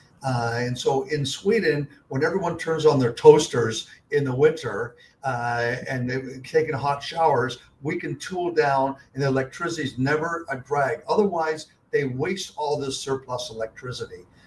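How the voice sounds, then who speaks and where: Noticeable background noise is present. The voice moves at a moderate pace, and its pitch varies in an ordinary way. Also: man, fairly high pitch for a man. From Canada (Toronto). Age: 70s. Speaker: investor and company CEO. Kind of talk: podcast interview. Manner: frequent filler words and repetitions.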